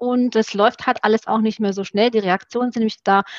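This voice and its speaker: A woman talks at a fairly quick pace and a fairly high pitch with fairly even intonation, in a plain, everyday voice. The background is quiet. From Romania (Satu Mare), moved to Germany at 12. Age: 40s. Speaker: former Olympic fencer. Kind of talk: podcast interview.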